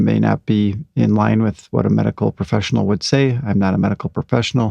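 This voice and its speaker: At a fairly quick pace, a man talks with a dry, close sound and no echo. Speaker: anxiety recovery podcaster. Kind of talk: casual podcast monologue. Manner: many fillers and hesitations.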